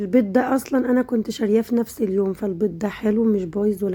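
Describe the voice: A woman talks at a very fast pace in a medium pitch with ordinary pitch variation. Her tone is dark and mellow with a slightly husky edge.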